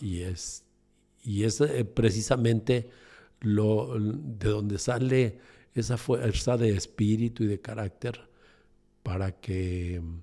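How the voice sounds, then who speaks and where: A man's fairly low voice at a very slow pace, with ordinary pitch variation and music in the background. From Mexico City. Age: 60s. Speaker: entrepreneur. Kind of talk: interview conversation. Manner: halting, many fillers.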